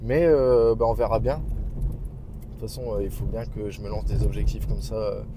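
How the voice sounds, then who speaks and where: A man speaking at a fairly slow pace, with noticeable background noise and audible room echo. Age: 20s. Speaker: entrepreneur vlogger. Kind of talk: vlog. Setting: on the move, arriving at the bank. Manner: hesitant, many fillers; casual.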